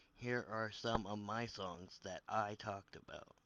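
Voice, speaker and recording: A man's put-on character voice, fairly low in pitch, at a moderate pace with monotone, flat intonation. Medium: read story.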